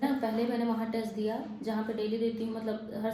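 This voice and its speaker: Soft-spoken and fairly high-pitched, a woman talks at a moderate pace with monotone, flat intonation amid noticeable background noise and audible room echo. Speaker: vlogger, exam aspirant. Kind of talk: casual vlog. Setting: walking outdoors and hostel room. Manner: soft-spoken, low volume.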